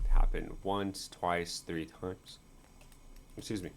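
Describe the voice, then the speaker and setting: A man speaks quietly at a moderate pace, his pitch fairly low. His intonation is lively. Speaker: crypto market analyst. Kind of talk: chart analysis video. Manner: quiet, low-voiced; halting, many fillers.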